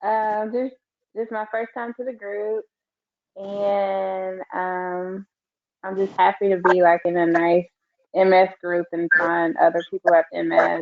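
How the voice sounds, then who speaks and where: Delivered at a fairly slow pace with fairly even intonation, this is an unremarkable speaking voice. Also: woman, medium pitch for a woman. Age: 30s. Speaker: support group participant with MS. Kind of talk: casual group introduction.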